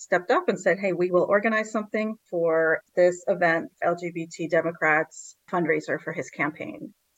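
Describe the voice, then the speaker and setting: A woman's normal speaking voice, fairly low in pitch, with ordinary pitch variation, a moderate pace and a dry, close sound with no echo. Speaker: activist organizer. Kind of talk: interview.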